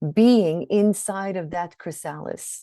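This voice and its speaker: Against a quiet background, a woman with a dark, mellow tone and lively intonation is heard in a dry, close sound with no echo. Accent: Swedish. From Sweden. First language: Swedish. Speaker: shadow work coach. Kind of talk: webinar teaching. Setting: online webinar.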